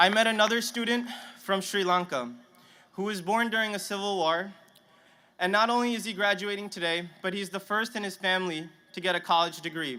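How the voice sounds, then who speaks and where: In a raised, projected voice, a man speaks at a fairly quick pace with a high pitch and a bright, sharp tone. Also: ordinary pitch variation. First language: Punjabi. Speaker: graduating student speaker. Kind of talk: commencement speech. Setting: stadium stage with audience. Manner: halting, some stammering restarts.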